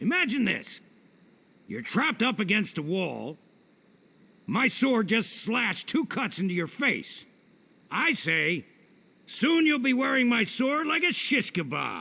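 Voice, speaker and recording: In a put-on character voice, a man sounds gruff and high-pitched, talking at a fairly slow pace with long, frequent pauses. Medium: video game. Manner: gruff, insulting, boastful.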